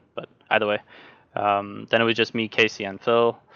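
A man speaks with a Norwegian accent at a moderate pace. His pitch is fairly low. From Norway. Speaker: sim racing driver. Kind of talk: casual chat.

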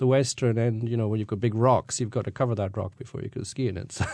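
With a Scottish accent, a man talks in a dark, mellow tone over a quiet background. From Scotland. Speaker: tour guide. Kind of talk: interview.

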